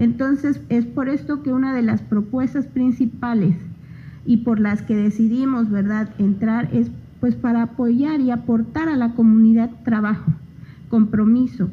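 A woman talks at a fairly slow pace and a fairly high pitch. Noticeable background noise runs through the clip. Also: ordinary pitch variation. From Oaxaca, Mexico (Isthmus of Tehuantepec). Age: 30s. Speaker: local political candidate, agronomist. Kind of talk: radio interview. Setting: radio studio.

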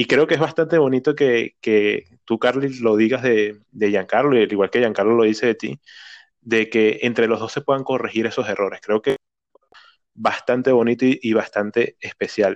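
An unremarkable speaking voice at a moderate pace, with fairly even intonation, in a dry, close sound with no echo. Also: man, medium pitch for a man. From Venezuela. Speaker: podcast host. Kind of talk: casual interview.

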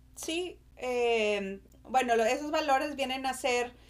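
The woman's pace is very slow. She shows ordinary pitch variation. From Mexico, Monterrey. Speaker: marketing and human development professional. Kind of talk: podcast interview.

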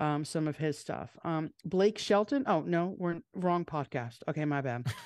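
Against a quiet background, a woman speaks with a New York accent and ordinary pitch variation. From New York, Long Island. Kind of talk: casual chat. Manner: fast.

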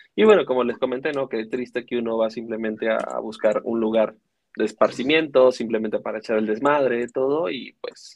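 Fairly quick pace from a man with an unremarkable speaking voice. His pitch is medium and his intonation fairly even. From Venezuela. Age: 20s. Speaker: podcast co-host, news segment presenter. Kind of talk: casual news commentary.

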